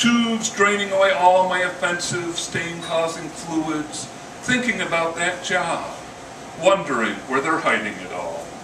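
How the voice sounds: A man's high-pitched voice at a slow pace, with audible room echo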